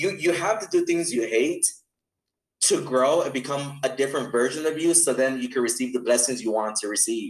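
An ordinary speaking voice from a man with a medium pitch and an American accent, at a fairly quick pace with ordinary pitch variation. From Los Angeles, California. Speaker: sales mentor. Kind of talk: interview.

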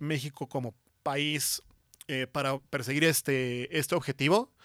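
On a very clean recording with a silent background and a dry, close sound with no echo, a man speaks fairly slowly at a fairly high pitch. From Mexico, San Luis Potosí. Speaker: industrial design professor. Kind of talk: interview. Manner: halting, many fillers.

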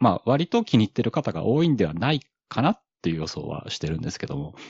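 Talking at a very fast pace, a man shows very wide pitch swings and vocal fry. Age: middle-aged. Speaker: podcaster. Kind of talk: casual chat. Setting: online audio space.

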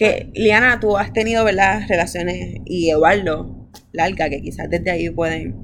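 A woman speaks with vocal fry, and audible room echo surrounds her voice. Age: 20s. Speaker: podcast host. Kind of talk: casual chat.

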